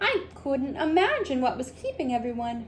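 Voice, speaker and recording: A woman's high-pitched, put-on character voice at a moderate pace, with clear background noise. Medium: read story.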